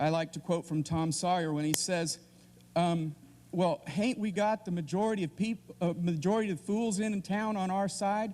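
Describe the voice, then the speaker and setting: A man with an American accent speaks at a high pitch in a dark, mellow tone. His pitch varies in an ordinary way. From Kansas, US Midwest. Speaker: debate panelist. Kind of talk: debate opening statement. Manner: halting, many fillers and restarts.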